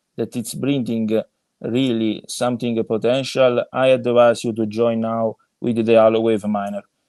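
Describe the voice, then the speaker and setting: A man with an Italian accent speaks at a fairly slow pace in a medium-pitched, monotone, flat voice, the sound dry and close with no echo over a quiet background. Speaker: crypto project co-founder. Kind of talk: podcast interview. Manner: halting, many fillers.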